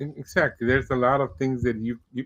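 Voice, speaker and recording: He speaks with fairly even intonation at a moderate pace. The man has a plain, everyday voice pitched in the middle range. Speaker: podcast host. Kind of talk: podcast interview host talk.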